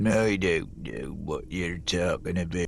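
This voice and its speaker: A man's put-on character voice, very deep and low in pitch, fairly slow, with clear background noise. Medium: video game. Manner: curt, unfriendly.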